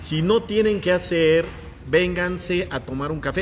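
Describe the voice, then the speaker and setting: A man's high-pitched voice at a moderate pace. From Mexico, Puebla. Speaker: podcast host. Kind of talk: casual interview chat. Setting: café.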